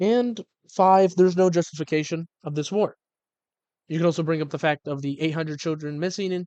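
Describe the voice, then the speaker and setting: A man speaks with a high pitch and a dark, mellow tone. His intonation stays fairly even. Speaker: gaming and history video creator. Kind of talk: casual commentary monologue. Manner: rambling, halting.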